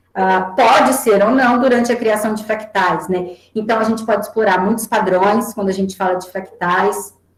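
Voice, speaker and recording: A woman speaks at a moderate pace with a fairly high pitch. Her intonation stays fairly even, with hardly any pauses. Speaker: mathematics education researcher giving a talk. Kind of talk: online lecture presentation. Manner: halting, with self-corrections.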